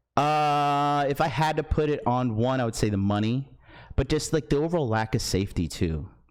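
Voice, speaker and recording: An ordinary speaking voice moves at a moderate pace with ordinary pitch variation and very even loudness. The recording is very clean, with a silent background. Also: man, fairly high pitch for a man. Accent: American. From United States. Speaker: blind date participant. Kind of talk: casual chat.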